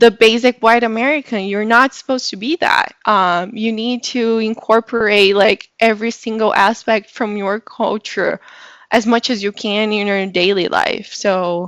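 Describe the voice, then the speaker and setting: Fairly high-pitched female voice with a Brazilian Portuguese accent, moderate pace and fairly even intonation, on a very clean recording with a silent background and a dry, close sound with no echo. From Brazil, São Paulo. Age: 20s. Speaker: public relations professional. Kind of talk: podcast interview.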